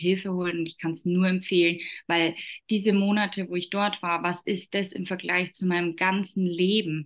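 A woman with a fairly low pitch talks in a monotone, flat way. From Upper Palatinate, Bavaria, Germany. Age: 30s. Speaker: entrepreneur. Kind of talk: interview.

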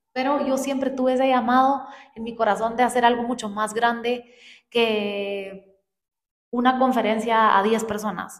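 Speaking fairly slowly, a woman keeps a flat, monotone intonation at a fairly high pitch. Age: 20s. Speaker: podcast co-host. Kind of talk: casual chat.

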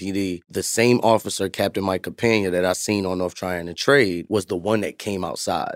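The speaker talks at a fairly quick pace with an American accent. Their intonation stays fairly even. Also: man. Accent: New York, slight, with some Southern words. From Bronx, New York. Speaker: community nonprofit founder and youth worker. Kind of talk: casual interview.

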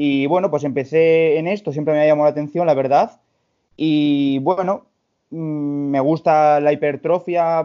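Using a plain, everyday voice, a man speaks at a fairly high pitch with fairly even intonation. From Spain, León. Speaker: personal trainer and amateur bodybuilder. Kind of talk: casual chat.

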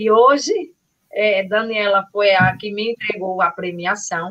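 This woman's medium-pitched voice moves at a fairly slow pace. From Carpina, Pernambuco, Brazil. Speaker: trail runner. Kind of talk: live podcast chat.

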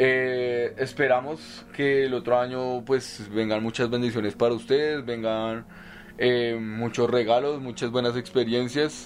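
A man talks at a fairly slow pace with fairly even intonation in an ordinary speaking voice. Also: medium pitch for a man. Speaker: podcast co-host, psychology graduate. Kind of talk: casual chat.

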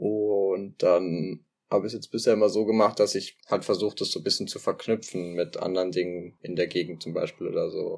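Male speech, very clean recording, silent background. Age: 20s. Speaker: sociology student. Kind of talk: casual interview. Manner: hesitant, many fillers.

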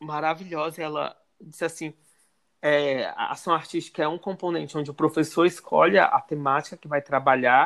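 Speaking at a moderate pace with a fairly high pitch, the man keeps a monotone, flat intonation while his loudness swings widely, all in a very clean recording with a silent background. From Ceará, Brazil. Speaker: arts student and social media content creator. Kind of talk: casual interview.

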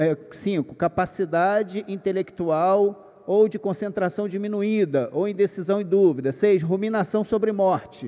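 This man talks at a fairly slow pace in a high pitch. Noticeable background noise runs behind him. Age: 50s. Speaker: workshop speaker for pastors. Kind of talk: lecture to a live audience. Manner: conversational, hesitant.

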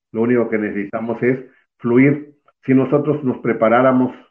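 A man speaks at a fairly slow pace and medium pitch. His is an unremarkable speaking voice. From Mexico, Veracruz. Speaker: alternative medicine practitioner. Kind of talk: interview. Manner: formal.

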